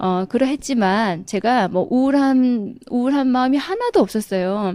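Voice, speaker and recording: Lively in intonation, a woman with a Gyeongsang accent speaks at a high pitch and a fairly slow pace. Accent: Gyeongsang dialect intonation, still present. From South Korea, Daegu (Gyeongsang). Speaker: direct sales distributor. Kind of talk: motivational seminar talk.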